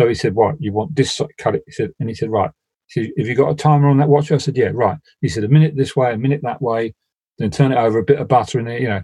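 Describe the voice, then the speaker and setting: At a very fast pace, a man speaks with a Cockney accent and big swings in loudness. His tone is dark and mellow, somewhat breathy. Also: medium pitch for a man, ordinary pitch variation. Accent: Cockney London. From South London. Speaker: builder. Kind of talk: casual chat.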